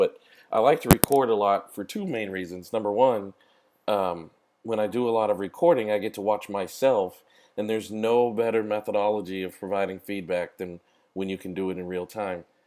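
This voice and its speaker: A man's fairly low voice, fairly quick in pace, with fairly even intonation. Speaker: couples therapist and trainer. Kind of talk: webinar presentation. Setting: online webinar call.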